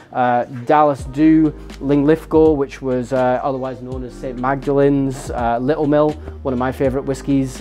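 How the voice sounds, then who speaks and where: Faint music plays in the background as the speaker talks at a fairly quick pace. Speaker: bar staff guide. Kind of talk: guided tour explanation. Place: bar.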